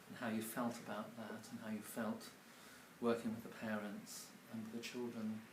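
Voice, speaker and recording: A man speaks in a flat monotone, with noticeable background noise and an audible echo in the room. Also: medium pitch for a man, moderate pace. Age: 60s. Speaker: publisher and mentor. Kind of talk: casual interview. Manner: halting, many fillers.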